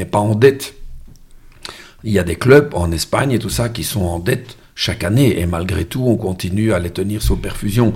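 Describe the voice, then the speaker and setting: A man's fairly low, somewhat breathy voice at a fairly slow pace, with ordinary pitch variation. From Brussels, Belgium. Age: 60s. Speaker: musician and amateur football coach. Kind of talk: casual interview.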